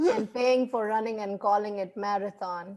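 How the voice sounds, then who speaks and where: Speaking with a non-native accent, a woman uses a medium pitch and fairly even intonation. Her pace is moderate. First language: not English. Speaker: comedian. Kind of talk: stand-up.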